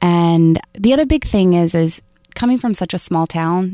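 A woman with a fairly low pitch speaks in an American accent. The sound is dry and close with no echo. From US South, rural North Florida. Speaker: investment education entrepreneur. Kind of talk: interview.

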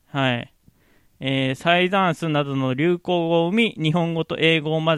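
A plain, everyday voice comes from a man who speaks at a moderate pace with a fairly high pitch and ordinary pitch variation. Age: 30s. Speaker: podcaster. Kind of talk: casual solo podcast talk. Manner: casual, frequent laughs.

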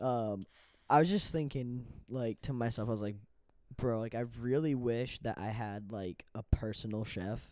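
At a moderate speed, the speech carries a dark, mellow tone and normal rises and falls in pitch. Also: man, medium pitch for a man. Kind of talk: casual chat. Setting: outdoors. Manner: casual, laid-back.

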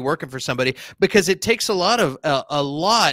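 A man with a Texan accent, bright, sharp tone and dry, close sound with no echo. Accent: Texan American. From Texas. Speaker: podcast guest, entertainment commentator. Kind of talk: casual chat. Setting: borrowed room at friend's place, video call.

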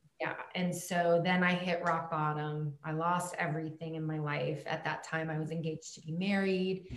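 The speech moves at a moderate pace in a flat monotone, with noticeable background noise and audible room echo. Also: woman, fairly low pitch for a woman. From Germany. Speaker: coach in recovery from alcoholism. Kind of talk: casual interview chat.

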